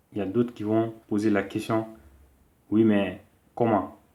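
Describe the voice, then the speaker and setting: The tone is dark and mellow, with monotone, flat intonation. Loudness swings in a big way from moment to moment. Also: man. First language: a Malian language (not French) (speaking French). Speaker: political commentator. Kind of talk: monologue to camera, political address. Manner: hesitant with fillers.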